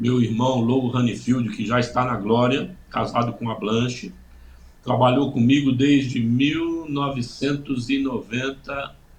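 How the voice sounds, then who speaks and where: Audible room echo surrounds a man who speaks at a very slow pace with fairly even intonation. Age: 60s. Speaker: pastor. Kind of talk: testimony. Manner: halting, many fillers.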